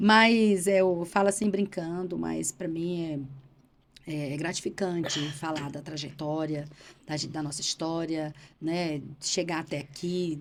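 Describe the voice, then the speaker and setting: On a very clean recording with a silent background, a woman with a fairly low pitch speaks very slowly in a fairly even intonation. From Bahia, Brazil (Irecê). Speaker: politician and journalist. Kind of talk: casual interview.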